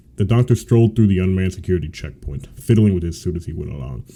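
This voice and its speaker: The speech runs at a very fast pace with ordinary pitch variation. Noticeable background noise sits under it. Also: man. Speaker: aspiring voice actor. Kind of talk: read story narration.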